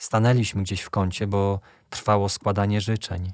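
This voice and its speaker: In a very clean recording with a silent background, a man with a normal speaking voice talks at a moderate pace and a fairly low pitch, the sound dry and close with no echo. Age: 20s. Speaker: young man giving a faith testimony. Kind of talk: testimony.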